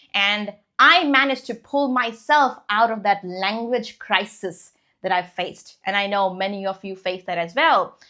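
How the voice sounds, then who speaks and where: A woman with a non-native accent at a medium pitch, ordinary pitch variation, and a quiet background. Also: moderate pace. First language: not English. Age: 20s. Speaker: English teacher and podcast host. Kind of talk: casual podcast monologue. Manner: conversational, with fillers.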